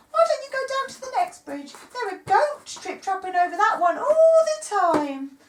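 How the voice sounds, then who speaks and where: An extremely high, squeaky, put-on character voice swings very widely in pitch at a moderate pace. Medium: read story.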